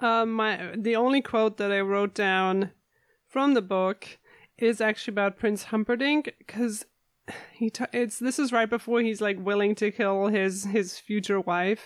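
A woman speaks at a fairly slow pace with fairly even intonation, the sound dry and close with no echo. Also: fairly high pitch for a woman, very even loudness. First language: not English. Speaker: podcast host. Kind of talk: casual chat. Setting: remote recording from home.

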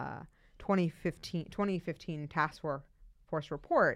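Using fairly even intonation, a woman speaks at a fairly slow pace in a very deep, low pitch. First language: not English. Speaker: city councilor and podcast co-host. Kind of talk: casual chat. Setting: studio.

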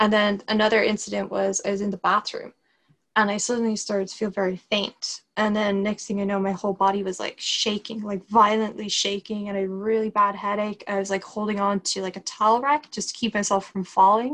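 With an Irish accent, a woman speaks at a medium pitch in a flat, monotone intonation. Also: fairly quick pace. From Ireland. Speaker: Lyme disease patient. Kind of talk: interview. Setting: remote call.

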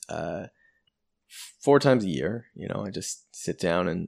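This man talks with a lively, varied intonation and audible vocal fry. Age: 30s. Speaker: government employee and LSAT tutor. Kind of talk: casual conversation.

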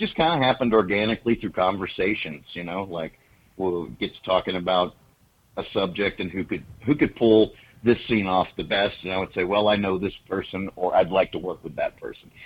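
A man talks at a fairly quick pace with a Southern US accent. His loudness swings widely. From Oklahoma, US. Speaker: horror filmmaker. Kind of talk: casual interview chat.

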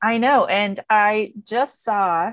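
With an American accent, a woman speaks at medium pitch and fairly even intonation in a dry, close sound with no echo. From US rural farming community. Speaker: podcast co-host, infection prevention professional. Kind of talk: casual chat.

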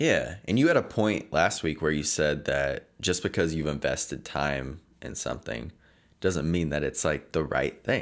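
Vocal fry runs through speech at a moderate pace with ordinary pitch variation. The recording is very clean and the background silent. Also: man, very deep, low pitch for a man. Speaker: podcast host. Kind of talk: casual chat.

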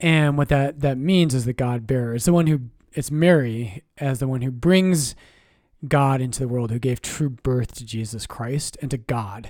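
In a very clean recording with a silent background, a man speaks at a medium pitch and moderate pace with ordinary pitch variation. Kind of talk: casual chat. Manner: soft-spoken.

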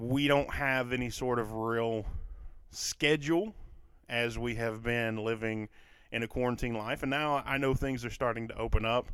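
Medium-pitched speech from a man with a Kentucky accent, moderate pace, fairly even intonation, on a very clean recording with a silent background. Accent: Kentucky Southern US. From Kentucky, US. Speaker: podcast host, mental health show, teacher. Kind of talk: solo monologue podcast. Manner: conversational, hesitant with fillers.

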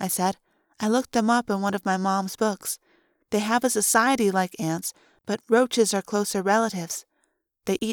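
Fairly even intonation marks an unforced reading voice over a quiet background.

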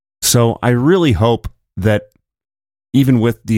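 On a very clean recording with a silent background, a man speaks with ordinary pitch variation in a dry, close sound with no echo. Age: 30s. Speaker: podcast host. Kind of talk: solo political commentary podcast. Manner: casual, conversational.

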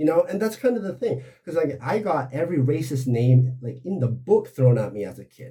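A man with an American accent and a fairly high pitch talks at a fairly quick pace with hardly any pauses, his somewhat breathy voice carrying a dark, mellow tone, lively intonation and big swings in loudness. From United States. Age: 40s. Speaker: photographer. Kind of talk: casual chat.

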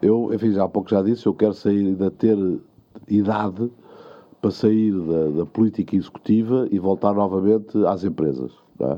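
This man has a plain, everyday voice. His pitch sits fairly low and his pace is moderate. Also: ordinary pitch variation. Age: 60s. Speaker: mayor. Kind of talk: interview.

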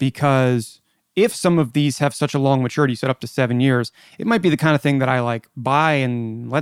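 At a moderate pace, a man with a fairly high pitch and a normal speaking voice is heard in a very clean recording with a silent background and a dry, close sound with no echo. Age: 30s. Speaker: podcast host. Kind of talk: interview.

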